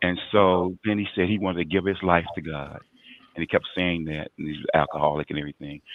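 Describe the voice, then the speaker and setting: This man's voice is very deep and low. He talks at a fairly quick pace with fairly even intonation. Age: 60s. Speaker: recovered addict turned outreach worker. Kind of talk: testimony. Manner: halting.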